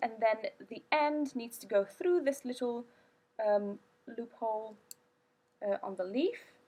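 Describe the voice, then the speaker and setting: With a non-native accent, a woman speaks at a very slow pace in a fairly high pitch with ordinary pitch variation. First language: not English. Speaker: product reviewer. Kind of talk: product review. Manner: halting.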